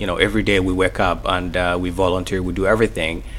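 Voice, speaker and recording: A man's voice with vocal fry. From Mogadishu, Somalia. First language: Somali. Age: 30s. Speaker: author, refugee and interpreter. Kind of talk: radio interview. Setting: radio studio. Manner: halting, hesitant, repeating words.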